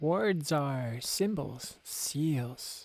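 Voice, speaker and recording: A man puts on a croaky character voice with a fairly high pitch. His pitch varies in an ordinary way. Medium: read story.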